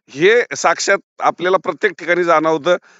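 Pitched high for a man, his voice rises and falls with ordinary variation. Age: 70s. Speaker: pomegranate commission agent. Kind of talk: casual chat.

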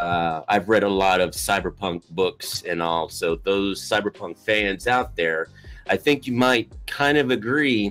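Faint music plays in the background as a man with a fairly low pitch speaks at a fairly slow pace. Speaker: podcast co-host. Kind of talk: podcast discussion. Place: home room.

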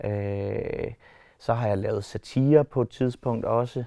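A man's voice is heard in dry sound with no echo. His intonation is monotone and flat. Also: quiet background. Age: 30s. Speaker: animator and personal assistant. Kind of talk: casual interview. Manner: hesitant, many filler words. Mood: relaxed, smiling. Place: hall.

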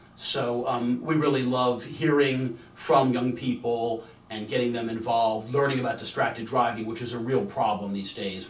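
Speaking with an American accent at a moderate pace and hardly any pauses, a man with a medium pitch and ordinary pitch variation shows big swings in loudness amid audible room echo. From Virginia. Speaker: attorney. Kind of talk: promotional talk; promotional address to camera. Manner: casual, with filler words. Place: studio.

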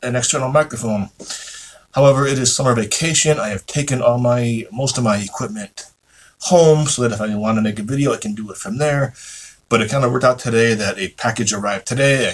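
Speaking at a very fast pace, a man sounds somewhat breathy, with ordinary pitch variation. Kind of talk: casual vlog chat. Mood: apologetic, chatty. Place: office. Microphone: phone near.

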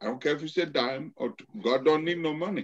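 A man talks fast at a fairly high pitch, with ordinary pitch variation.

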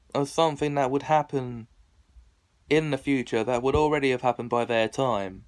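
The man's voice sits at a fairly high pitch. He speaks at a moderate pace. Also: quiet background. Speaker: online video host. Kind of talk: casual monologue to camera. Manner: rambling, self-deprecating. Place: home room. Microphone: phone near.

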